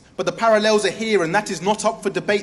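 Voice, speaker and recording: A man's high-pitched voice with a British accent. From England. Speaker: spoken word poet. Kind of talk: slam poetry performance. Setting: stage with audience.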